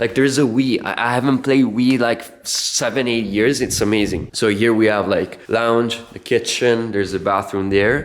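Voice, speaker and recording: In an Italian accent, the speaker keeps a moderate pace with hardly any pauses and fairly even intonation over noticeable background noise. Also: man, medium pitch for a man. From Italy. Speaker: music producer and collective co-founder. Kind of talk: casual vlog. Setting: recording studio. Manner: halting.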